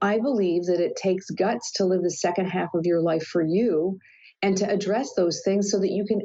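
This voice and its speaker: A woman's medium-pitched voice, an ordinary speaking voice, with fairly even intonation and very even loudness. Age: 60s. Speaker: life coach. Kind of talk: interview.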